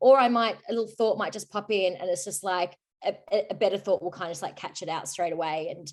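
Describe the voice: Here a woman talks at a fast pace with a medium pitch. Her intonation stays fairly even.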